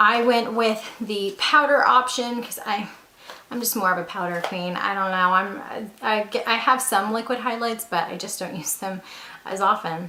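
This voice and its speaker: A woman's enthusiastic, fairly high voice with ordinary pitch variation, at a fairly slow pace, with audible room echo and noticeable background noise. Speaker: beauty YouTuber. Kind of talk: product review. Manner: chatty, enthusiastic.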